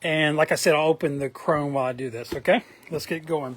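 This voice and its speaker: The intonation is fairly even, with noticeable background noise behind the voice. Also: man. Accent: Southern US. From US South, Atlanta, Georgia. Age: 40s. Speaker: trading card collector vlogger. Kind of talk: casual monologue vlog. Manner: hesitant, many fillers.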